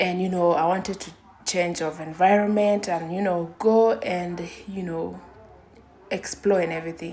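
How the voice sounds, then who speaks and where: At a moderate pace, a woman speaks with a fairly low pitch and fairly even intonation amid noticeable background noise. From Kenya. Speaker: vlogger. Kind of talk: personal testimony. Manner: halting.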